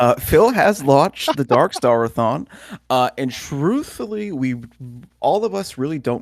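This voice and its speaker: The speaker, with a North Jersey accent, talks at a fairly slow pace with very wide pitch swings. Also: man. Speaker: podcast co-host. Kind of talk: casual chat.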